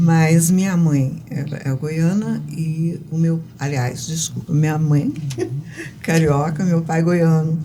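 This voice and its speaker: With a very deep, low pitch, a woman speaks at a very slow pace and fairly even intonation amid audible room echo and noticeable background noise. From Goiás, Brazil (born in Rio de Janeiro). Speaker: writer and poet. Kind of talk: interview. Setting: studio.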